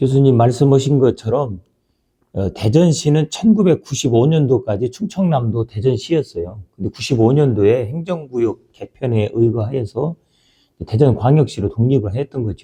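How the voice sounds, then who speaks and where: A man's medium-pitched, somewhat breathy voice, dark and mellow in tone, with lively intonation at a moderate pace in a dry, close sound with no echo. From Taean, Chungcheongnam-do, Korea. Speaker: former provincial councillor. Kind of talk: casual chat interview.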